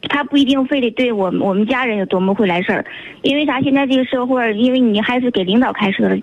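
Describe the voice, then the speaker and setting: A woman's high voice at a very fast pace, with ordinary pitch variation, very even loudness and noticeable background noise. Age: 20s. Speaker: radio call-in listener. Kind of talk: phone-in conversation about relationship problem.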